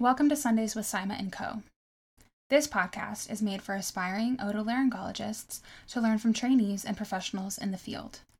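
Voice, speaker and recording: Her voice is fairly high in pitch and somewhat breathy, with ordinary pitch variation. The woman talks at a fairly quick pace. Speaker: podcast host, medical student. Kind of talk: interview; scripted introduction.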